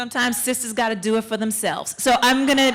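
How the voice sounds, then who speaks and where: Noticeable background noise runs under this recording. A woman with a New York accent and fairly high pitch speaks at a fairly quick pace. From Queens, New York. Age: young. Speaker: actor and performer. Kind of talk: stage speech. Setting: stage with audience.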